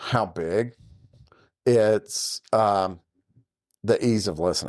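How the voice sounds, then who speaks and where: On a very clean recording with a silent background, a man with a Southern accent speaks very slowly, using ordinary pitch variation. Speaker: podcast host. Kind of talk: casual chat. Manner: conversational.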